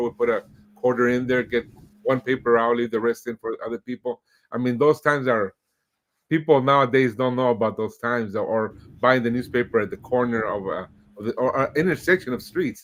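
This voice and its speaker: A man speaks at a fairly quick pace and a medium pitch, with fairly even intonation. The sound is dry and close, with no echo. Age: 50s. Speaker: podcast host. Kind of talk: casual interview. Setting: streamed podcast. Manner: hesitant, many fillers.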